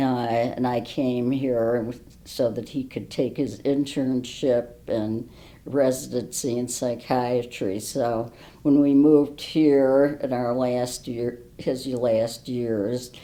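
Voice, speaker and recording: A woman's very deep, low voice, dark and mellow in tone, flat and monotone, at a very slow pace. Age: 80s+. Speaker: retired professor. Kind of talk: interview. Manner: hesitant, many fillers.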